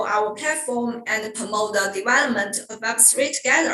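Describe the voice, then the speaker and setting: A woman with a Chinese accent, high-pitched and fairly slow, with noticeable background noise and audible room echo. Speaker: webinar host. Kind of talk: hosted online talk introduction. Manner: halting.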